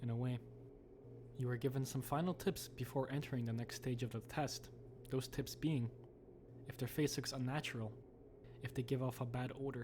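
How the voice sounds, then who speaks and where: A man's medium-pitched voice with vocal fry, moderate in pace and fairly even in intonation. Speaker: horror commentary YouTuber. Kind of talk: horror video game commentary narration.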